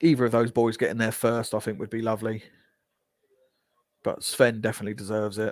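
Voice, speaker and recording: A man speaks at a medium pitch in a Geordie accent. His pace is very fast, broken by long, frequent pauses. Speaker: football fan streamer. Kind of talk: live match watch-along commentary. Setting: live stream. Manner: animated.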